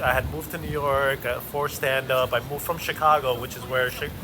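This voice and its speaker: Over noticeable background noise, a man with a non-native accent speaks with fairly even intonation. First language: not English. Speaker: stand-up comedian and show host. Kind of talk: casual chat while walking.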